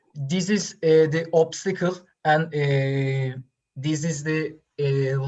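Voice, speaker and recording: A woman with a non-native accent speaks in a very deep, low pitch and sounds somewhat breathy. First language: not English. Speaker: student presenter at science forum. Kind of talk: q&a answer to jury. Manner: halting.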